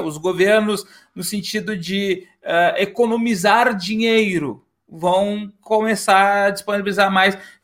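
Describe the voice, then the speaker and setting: The voice proceeds at a fairly slow pace with ordinary pitch variation. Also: man. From southern Brazil. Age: 40s. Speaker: podcast host and history teacher. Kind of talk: casual discussion podcast.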